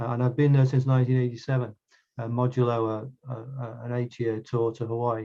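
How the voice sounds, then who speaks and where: Somewhat breathy, a man speaks at a medium pitch with a dark, mellow tone and monotone, flat intonation. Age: 60s. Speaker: astronomer. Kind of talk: lecture. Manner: halting, many fillers.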